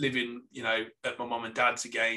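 With a Staffordshire accent, a man talks at a fairly quick pace. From Staffordshire, England. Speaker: graphic designer and podcaster. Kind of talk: casual interview chat.

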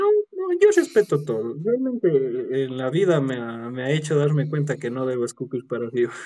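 Ordinary pitch variation accompanies speech delivered at a moderate speed. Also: man, fairly high pitch for a man. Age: 20s. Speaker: dog groomer and prosthetics maker. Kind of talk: casual interview.

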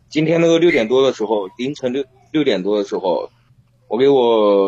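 A man with an ordinary speaking voice and medium pitch talks at a moderate pace with ordinary pitch variation. The sound is dry and close, with no echo. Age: 20s. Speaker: caller to a relationship advice live stream. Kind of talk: call-in advice conversation. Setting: phone call into a live stream.

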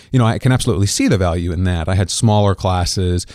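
A man speaks very fast with a Midwestern American accent, his pitch fairly low and his tone dark and mellow. Pitch variation is ordinary, and the recording is very clean with a silent background. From Kansas. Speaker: podcast host. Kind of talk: interview and solo commentary.

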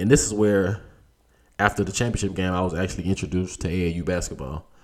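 This man has a very deep, low pitch. He talks at a very fast pace with fairly even intonation. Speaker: college basketball player and podcast host. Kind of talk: casual solo monologue. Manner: hesitant with fillers.

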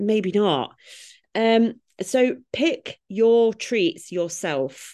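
Lively intonation in a British accent, against a quiet background. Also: woman. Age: 30s. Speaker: fitness coach. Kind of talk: casual chat. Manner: animated.

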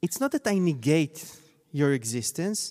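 With an Israeli accent, a man talks at a fairly slow pace in a dark, mellow tone. His intonation is lively, and the recording is very clean against a silent background. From Israel, Tel Aviv. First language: Hebrew. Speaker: scholar of Zionism. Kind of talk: panel discussion. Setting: stage with audience.

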